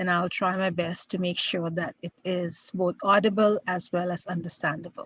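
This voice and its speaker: Somewhat breathy and fairly slow, a woman speaks with fairly even intonation in a dry, close sound with no echo. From India. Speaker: professor. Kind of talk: lecture.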